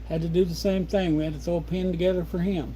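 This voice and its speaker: There is audible room echo around a man with a rural Midwestern US accent. His tone is relaxed. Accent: rural American Midwest. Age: 60s. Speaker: homesteader livestreamer. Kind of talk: casual livestream chat. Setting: home livestream at desk. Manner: relaxed, rambling pace with fillers.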